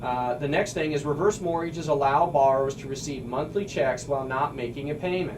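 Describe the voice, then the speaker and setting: A man with a slight Missouri accent talks at a fairly quick pace in a fairly high voice. Noticeable background noise and audible room echo run through the recording. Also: ordinary pitch variation, hardly any pauses. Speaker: radio host and mortgage broker. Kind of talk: radio talk show explanation. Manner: casual, with frequent fillers and restarts.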